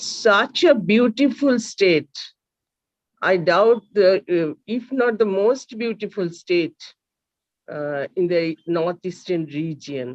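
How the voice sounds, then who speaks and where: A woman's medium-pitched voice with a Bengali accent, very slow, with very wide pitch swings and a dry, close sound with no echo. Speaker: seminar host. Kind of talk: speaker introduction. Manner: halting.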